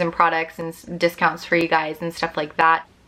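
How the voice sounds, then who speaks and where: Bright, sharp tone from a woman with fairly low pitch, at a fairly quick pace. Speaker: vlogger. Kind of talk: casual vlog talk to camera. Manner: fast; animated.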